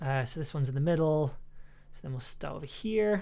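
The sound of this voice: The voice carries vocal fry. Its pitch varies in an ordinary way.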